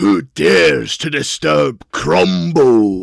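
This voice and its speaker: A man in a put-on character voice, very deep and low, at a very slow pace. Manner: booming, commanding.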